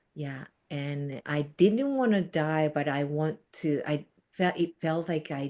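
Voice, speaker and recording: With a Japanese accent, a woman speaks at a very deep, low pitch in a dark, mellow tone, with ordinary pitch variation. Her pace is very slow, and the background is quiet. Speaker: Reiki teacher. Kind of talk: podcast interview. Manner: halting.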